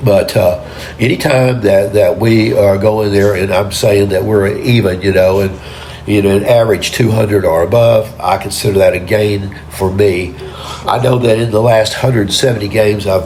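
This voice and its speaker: A man with an American accent speaks at a moderate pace in a fairly low voice, his intonation fairly even and his loudness very even. Noticeable background noise and audible room echo sit behind him. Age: 70s. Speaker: amateur bowler vlogger. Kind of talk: casual vlog commentary. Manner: halting, many repetitions.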